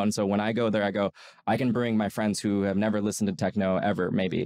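Against a quiet background, a man with an American accent and fairly low pitch talks at a very fast pace. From US, New York. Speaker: tech marketing executive; podcast guest. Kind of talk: interview. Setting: in person. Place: studio. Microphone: studio mic.

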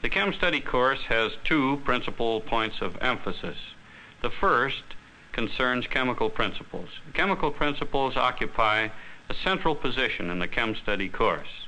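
Over light background noise, a man speaks at a moderate pace in a bright, sharp tone, with lively intonation and very even loudness. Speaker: chemistry course teacher or developer. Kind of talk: explanatory newsreel interview. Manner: formal, measured. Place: studio.

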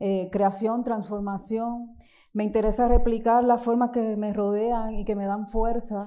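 A woman speaks at a moderate pace in a fairly high pitch, her tone dark and mellow. Her intonation is monotone and flat, with a quiet background. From Puerto Rico, Caguas; Puerto Rico. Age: 50. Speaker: visual artist. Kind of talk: lecture. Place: hall.

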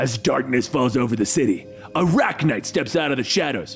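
A man puts on a gravelly character voice at a medium pitch and a fairly quick pace, with clear music in the background. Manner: brooding, dramatic narration.

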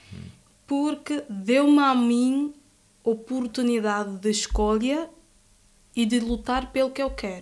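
At a very slow pace, a woman with a high pitch and ordinary pitch variation talks with long, frequent pauses. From Guinea-Bissau, Bissau. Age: 20s. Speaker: law student. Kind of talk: interview.

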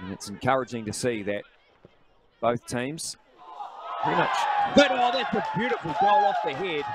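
Noticeable background noise sits behind a man with a high pitch and very wide pitch swings. He keeps a fairly slow pace with long, frequent pauses. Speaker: football commentator. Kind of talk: live football commentary. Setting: stadium match broadcast.

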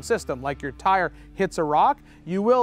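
Faint music plays in the background. The pace is moderate and the sound is dry with no echo. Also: man. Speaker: shop host explaining parts. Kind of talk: tutorial. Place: garage.

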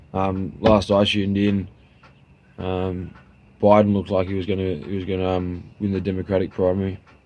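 A man speaks at a moderate pace with a very deep, low pitch, a relaxed tone, monotone, flat intonation and an Australian accent. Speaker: vlogger. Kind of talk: casual monologue. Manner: relaxed, halting with fillers. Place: garden. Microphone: phone near.

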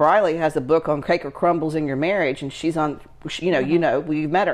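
Against a quiet background, a woman speaks in a fairly low voice. She has an ordinary speaking voice with fairly even intonation. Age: 50s. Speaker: lifestyle entrepreneur and channel host; channel host. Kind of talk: casual chat. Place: home room.

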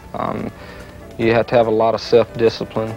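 Faint music plays in the background as a man with a fairly low pitch speaks in a dry sound with no echo. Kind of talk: interview answer. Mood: calm, earnest. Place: home room.

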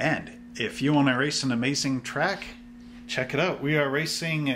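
Light background noise behind a male speaker. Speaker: hobby shop channel host. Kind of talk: casual vlog chat. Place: shop.

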